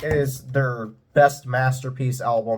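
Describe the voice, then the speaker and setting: A somewhat breathy male voice. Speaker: music reviewer / YouTuber. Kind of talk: album ranking monologue. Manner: stuttering, halting; enthusiastic.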